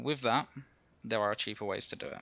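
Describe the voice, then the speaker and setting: A man with vocal fry speaks at a fairly low pitch with fairly even intonation. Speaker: game guide narrator. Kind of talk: game tutorial voice-over.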